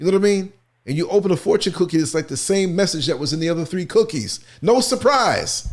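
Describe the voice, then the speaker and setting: Loud and animated, the speaker talks at a very fast pace with lively intonation and an American accent. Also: man, high pitch for a man, very clean recording, silent background. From New York (Queens). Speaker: talk show host. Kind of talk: casual chat. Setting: studio.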